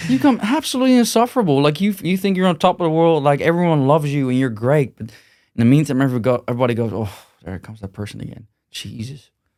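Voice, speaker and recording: A man's very fast, fairly high-pitched speech with a Dutch accent, very wide pitch swings and big swings in loudness, on a very clean recording with a silent background. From Netherlands. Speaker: gym owner and martial arts manager. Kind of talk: podcast interview. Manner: blunt, direct.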